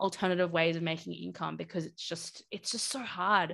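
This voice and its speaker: A woman with an Australian accent at a fairly quick pace, on a very clean recording with a silent background. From Australia, Brisbane. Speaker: game studio production director. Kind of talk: interview.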